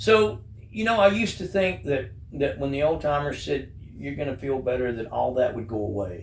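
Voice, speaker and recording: A man's somewhat breathy, fairly high-pitched voice at a moderate pace, full of very wide pitch swings, with audible room echo. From rural upbringing on a farm. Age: 60s. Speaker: recovering addict sharing his story. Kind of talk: interview testimony. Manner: halting, with repeated words.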